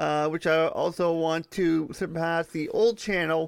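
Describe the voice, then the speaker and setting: The recording is very clean, with a silent background. A man with a fairly high pitch talks at a fairly slow pace, keeping his intonation fairly even. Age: 30s. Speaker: podcast host. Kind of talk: solo casual monologue. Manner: halting.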